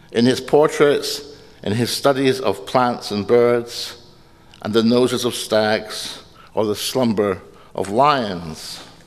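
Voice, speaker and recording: In a Scottish accent, a man speaks very slowly with ordinary pitch variation. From Scotland. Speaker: poet giving a lecture. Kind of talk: audience Q&A discussion; lecture. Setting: stage with audience. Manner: halting. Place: hall. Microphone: podium.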